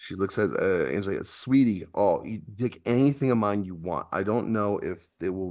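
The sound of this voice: The pitch varies in an ordinary way throughout this unforced reading voice.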